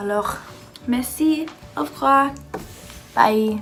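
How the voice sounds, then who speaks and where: Music plays behind a woman speaking. Her voice is fairly high, with ordinary pitch variation. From United States. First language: English (speaking French). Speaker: exchange student vlogger. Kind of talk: casual vlog rant. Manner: halting, many fillers.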